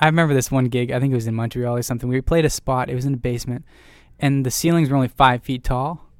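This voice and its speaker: In a very clean recording with a silent background, a man with a Canadian accent uses a plain, everyday voice at medium pitch with fairly even intonation. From Ontario, Canada. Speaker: rock band singer. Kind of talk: casual interview.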